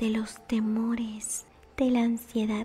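A woman talks at a very slow pace in a monotone, flat intonation while faint music plays in the background. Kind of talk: personal faith testimony to camera. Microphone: studio mic.

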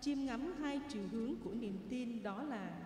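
At a very slow pace, a woman speaks at a high pitch with ordinary pitch variation, amid audible room echo and noticeable background noise. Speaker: lector or commentator at Mass. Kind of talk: liturgical announcement reading. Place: church.

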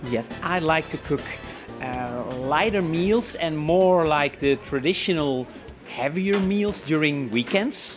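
Very slowly, a man speaks while clear music plays in the background. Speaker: guest. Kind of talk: interview answer. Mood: friendly, relaxed. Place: shop.

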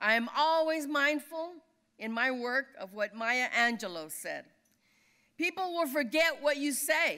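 A woman with an American accent projects a raised voice at high pitch, bright and sharp in tone, with lively intonation. She keeps a fairly slow pace against a quiet background. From California Central Valley; California. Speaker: labor leader; speaker. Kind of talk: award acceptance speech. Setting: dinner event on stage. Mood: earnest, rousing. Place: hall. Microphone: podium.

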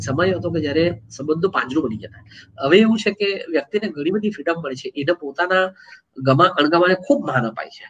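The voice moves with lively intonation and big swings in loudness. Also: man. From South Gujarat, Valsad district; South Gujarat. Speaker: writer and columnist; guest. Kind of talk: interview. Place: home room. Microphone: earbuds.

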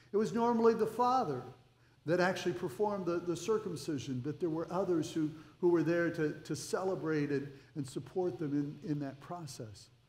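Here a man talks with lively intonation. Audible room echo surrounds his voice. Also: moderate pace. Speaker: pastor. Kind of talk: sermon. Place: church. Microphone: headset.

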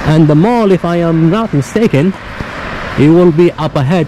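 A man at a moderate pace, fairly high in pitch, with a dark, mellow tone, ordinary pitch variation and faint background noise

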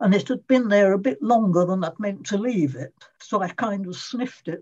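A woman's somewhat breathy, medium-pitched voice at a fairly slow pace, with very wide pitch swings and a quiet background. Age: 80s+. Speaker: former emetophobia sufferer. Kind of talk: interview answer. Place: home room. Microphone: video call.

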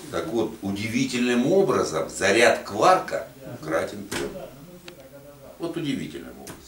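Recorded with audible room echo and light background noise, a man talks at a fairly slow pace with big swings in loudness. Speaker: geopolitics academy member; speaker. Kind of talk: casual discussion. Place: meeting room. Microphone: camera far.

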